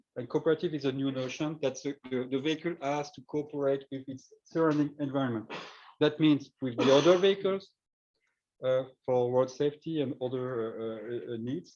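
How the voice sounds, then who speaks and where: Spoken with a French accent, the voice rises and falls sharply in loudness. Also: man, fairly high pitch for a man, ordinary pitch variation, moderate pace. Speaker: researcher and startup CEO. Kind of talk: conference talk. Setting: face-to-face meeting with shared screen. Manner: halting, many fillers.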